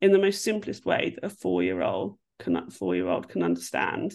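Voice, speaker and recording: A woman is speaking against a quiet background. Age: 40s. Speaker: podcast co-host. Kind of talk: casual chat. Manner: animated.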